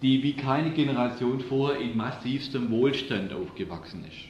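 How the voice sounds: Audible room echo surrounds a man with a medium pitch and a slightly mellow tone. His pitch varies in an ordinary way.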